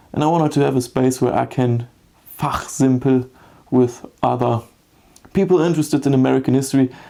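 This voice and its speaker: With a German accent, a man speaks at a moderate pace with a medium pitch, a dark, mellow tone and fairly even intonation. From Germany, small town. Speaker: history YouTuber. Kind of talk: personal vlog monologue. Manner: halting.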